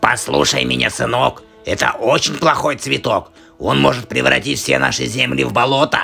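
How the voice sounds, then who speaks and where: A cartoonish character voice from a man, very deep and low in pitch, at a moderate pace with faint music in the background. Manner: sly, wheedling.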